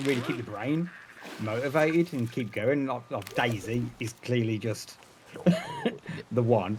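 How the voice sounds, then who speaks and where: A man with a Birmingham accent, medium pitch, ordinary pitch variation and a moderate pace, against noticeable background noise. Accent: Birmingham (Brummie) English. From England, Birmingham. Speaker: streamer and retail manager. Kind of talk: casual interview. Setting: call.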